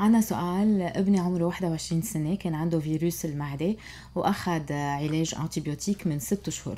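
With a Lebanese accent, the speaker talks at a moderate pace in a dark, mellow tone with ordinary pitch variation. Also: woman. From Lebanon. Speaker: radio host. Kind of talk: radio interview, health talk. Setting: radio studio. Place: studio. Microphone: studio mic.

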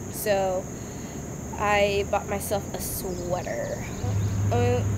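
A woman is speaking with noticeable background noise in the recording. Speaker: vlogger. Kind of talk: casual vlog chat. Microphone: phone near.

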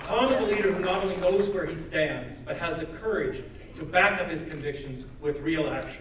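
A man's voice, high in pitch, at a moderate pace, with audible room echo and light background noise. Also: ordinary pitch variation. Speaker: member of parliament. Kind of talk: rally speech. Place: hall. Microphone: camera far.

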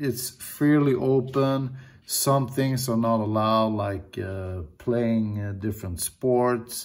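A man speaks at a very slow pace. His pitch shows ordinary variation. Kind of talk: casual vlog chat. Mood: reflective, grateful. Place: home room. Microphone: phone near.

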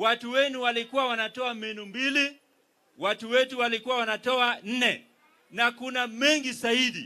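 A man with a Kenyan accent talks in a raised, projected voice at an extremely high pitch. His tone is bright and sharp, and he moves at a fairly quick pace. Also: fairly even intonation. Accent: Kenyan (Luo) English. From Kenya, Migori. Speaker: politician, county governor; politician. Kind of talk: political speech at a rally. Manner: formal. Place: stage. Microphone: handheld.

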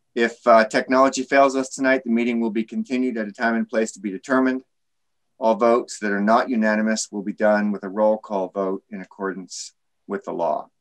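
A man with fairly even intonation over a quiet background. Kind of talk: meeting procedure announcement. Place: home room. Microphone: webcam.

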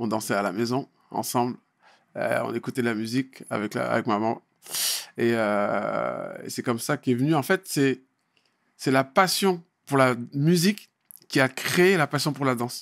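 A man at a fairly slow pace, with long, frequent pauses and a quiet background. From France, Val-d'Oise (Paris suburbs); France. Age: 40s. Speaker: dancer and choreographer; guest, MC. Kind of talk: casual interview. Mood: relaxed, reminiscing. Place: studio. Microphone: studio mic.

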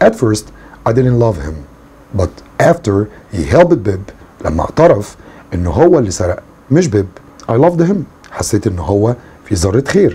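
With an Egyptian accent, a man speaks at a moderate pace and a fairly low pitch, swinging his pitch very widely and leaving long, frequent pauses. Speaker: English teacher. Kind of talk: lecture. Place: home room.

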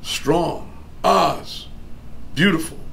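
This man's speech goes along very slowly. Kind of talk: interview answer. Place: meeting room. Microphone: camera far.

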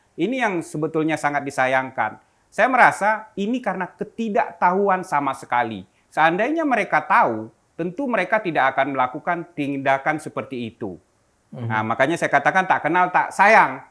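A man's fairly high, bright and sharp voice, with very wide pitch swings, a fairly quick pace and a quiet background. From Jakarta, Indonesia (Senen, Central Jakarta); Indonesia. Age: young. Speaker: activist and museum founder. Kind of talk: interview. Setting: at his museum. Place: home room.

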